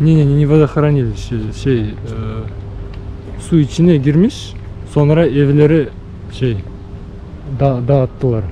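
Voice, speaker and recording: Noticeable background noise sits behind a man with a fairly high pitch and very even loudness. He talks at a fairly slow pace with ordinary pitch variation and long, frequent pauses. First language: Russian or Bashkir (speaking Turkish). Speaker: travel vlogger. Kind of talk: casual walking tour vlog. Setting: outdoors. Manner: halting, many fillers.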